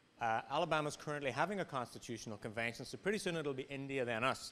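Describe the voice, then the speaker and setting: The speaker talks at a moderate pace in an Irish accent. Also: man. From Ireland. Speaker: business policy advocate. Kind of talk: panel presentation. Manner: hesitant, repeats words.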